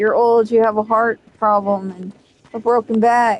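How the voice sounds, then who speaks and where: At a fairly slow pace, a woman talks in a fairly high pitch with monotone, flat intonation. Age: 40s. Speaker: video game streamer. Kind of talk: casual chat. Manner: flat, same tone whether mad or happy; dry delivery.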